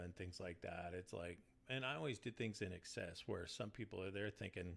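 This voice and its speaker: Vocal fry runs through a man's voice as he speaks at a moderate pace. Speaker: band guitarist and backing vocalist. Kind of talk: casual interview chat. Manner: monotone.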